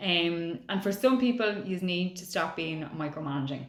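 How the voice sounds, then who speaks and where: A woman speaks with audible room echo. Noticeable background noise is also present. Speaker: psychic astrologer. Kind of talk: horoscope reading to camera. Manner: fast.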